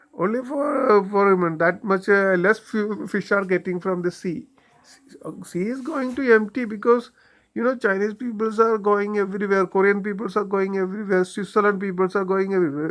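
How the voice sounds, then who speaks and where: The speech comes at a moderate pace in a strong non-native accent. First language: Malayalam. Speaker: YouTuber commentator. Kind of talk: monologue commentary. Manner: halting, many fillers.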